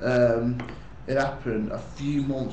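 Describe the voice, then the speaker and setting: A man's voice amid noticeable background noise. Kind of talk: casual talk to camera.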